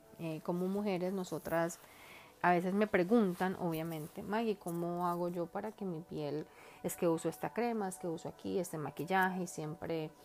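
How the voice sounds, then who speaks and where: A woman talks in a fairly low register, her intonation fairly even and her tempo moderate. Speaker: makeup artist and hairstylist. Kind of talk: beauty tips monologue.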